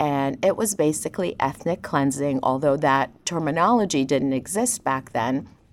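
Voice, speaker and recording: A woman speaks with a very deep, low pitch and lively intonation at a moderate pace. Her loudness stays very even, with hardly any pauses. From Lebanon (Beirut), Armenian family. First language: Armenian. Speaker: ophthalmic surgeon. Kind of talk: interview.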